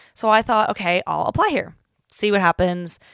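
An animated tone in a Pacific Northwest accent, with a dry, close sound with no echo and a very clean recording with a silent background. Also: woman. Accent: American, Pacific Northwest. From US Pacific Northwest. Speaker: podcast host, university student. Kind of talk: casual chat. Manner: loud, animated.

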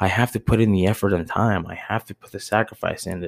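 In a very clean recording with a silent background, a man with an American accent and a plain, everyday voice talks at a moderate pace, his fairly low pitch showing ordinary variation. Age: 30s. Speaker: podcast host, bar manager. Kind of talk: solo monologue podcast. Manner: rambling, filler-heavy.

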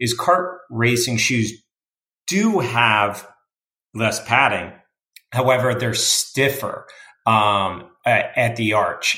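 Room echo is audible as a man speaks very slowly. His tone is bright and sharp. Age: 30s. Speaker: amateur racer and motorsport announcer. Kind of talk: casual interview.

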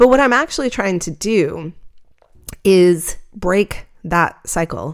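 Speech at a very slow pace, carried by lively intonation. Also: woman, medium pitch for a woman. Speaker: podcast host and night photographer. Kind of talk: solo podcast monologue. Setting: home recording with microphone and computer. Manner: reflective, conversational.

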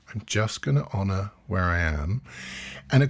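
His voice rises and falls in very wide pitch swings and sounds somewhat breathy. This man keeps to a moderate pace. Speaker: mindfulness teacher and podcast host. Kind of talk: talk to a live meditation group.

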